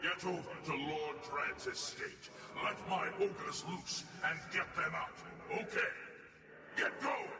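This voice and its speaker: A man uses a put-on character voice at a fairly slow pace. Clear background noise and a clear echo are present. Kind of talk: video game voice acting. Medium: game stream. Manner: gruff, blunt, commanding.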